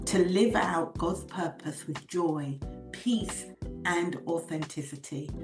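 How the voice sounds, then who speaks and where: The woman speaks very slowly as music plays behind her. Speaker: podcast host. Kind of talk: podcast intro read.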